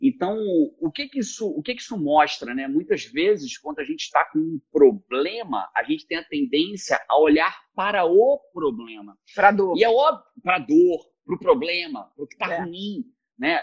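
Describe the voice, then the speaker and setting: A man talks at a moderate pace in a high voice with very wide pitch swings. The sound is dry and close, with no echo. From Rio de Janeiro, Brazil. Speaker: productivity expert. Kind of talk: casual interview chat.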